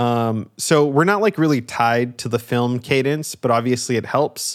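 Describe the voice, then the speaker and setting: On a very clean recording with a silent background, a man speaks at a moderate pace. His pitch is medium, with ordinary variation. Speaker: creative director. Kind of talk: casual chat. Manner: animated, casual.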